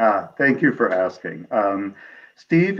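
The speaker has a Midwestern American accent and talks at a fairly slow pace. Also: man. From US Midwest, Peoria, Illinois; Illinois. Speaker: author; guest. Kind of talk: interview. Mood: warm, reflective storytelling. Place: home room. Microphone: video call.

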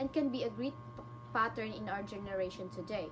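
Noticeable background noise sits behind this woman as she talks. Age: young. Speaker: student presenter; presenter. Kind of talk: class presentation. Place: home room. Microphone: webcam.

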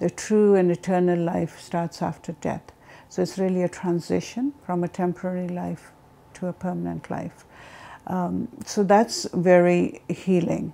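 Speaking at a fairly slow pace, a woman has a fairly low pitch, a dark, mellow tone and fairly even intonation. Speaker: interviewee. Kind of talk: interview testimony. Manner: halting, many fillers. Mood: calm, reflective. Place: home room. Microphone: lapel.

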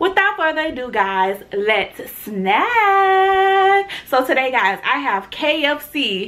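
In an upbeat, bright, sharp tone, a woman with an American accent speaks at a very slow pace. Her high pitch moves in very wide swings. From Tallahassee, Florida. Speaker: food vlogger. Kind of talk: mukbang eating show talk to camera. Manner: casual, upbeat. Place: home room.

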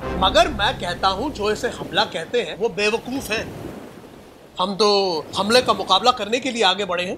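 A man speaks in a raised, projected voice with ordinary pitch variation. Music plays in the background. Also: fairly slow pace. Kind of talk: dramatic monologue. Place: beach. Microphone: phone near.

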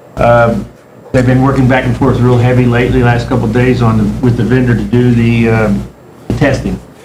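Over noticeable background noise and audible room echo, a man speaks fairly quickly at a medium pitch in a monotone, flat intonation. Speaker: city official giving staff report. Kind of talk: report at city council meeting. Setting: city council meeting. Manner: fast.

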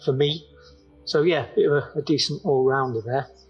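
Faint background music can be heard. Over it, a man talks. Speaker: trail running shoe reviewer. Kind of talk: product review talk to camera. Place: open country.

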